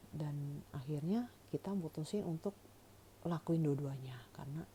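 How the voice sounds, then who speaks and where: In a very deep, low, somewhat breathy voice with a dark, mellow tone, a woman speaks at a moderate pace. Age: 40s. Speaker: cancer patient vlogger. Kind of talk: personal testimony. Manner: casual, conversational with fillers.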